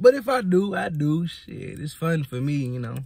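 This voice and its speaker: There is no echo on the man's voice, which sounds dry. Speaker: vlogger. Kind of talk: casual vlog chat. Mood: relaxed, playful, laughing. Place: car. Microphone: phone near.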